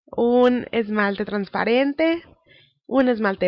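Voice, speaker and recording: Here is a woman with a fairly high pitch. Her pitch varies in an ordinary way. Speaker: nail art tutorial creator. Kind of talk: casual tutorial talk to camera.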